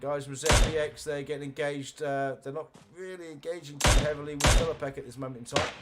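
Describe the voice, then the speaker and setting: Speaking at a very fast pace, a man with a fairly high pitch uses monotone, flat intonation, his loudness swinging widely over noticeable background noise. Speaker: esports caster. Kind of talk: live commentary.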